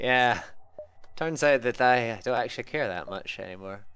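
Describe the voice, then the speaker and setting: The speaker has a Scottish accent. The pace is fairly slow. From Scotland. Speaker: video game streamer. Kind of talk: live gameplay stream commentary. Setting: live stream. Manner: casual, hesitant with self-corrections.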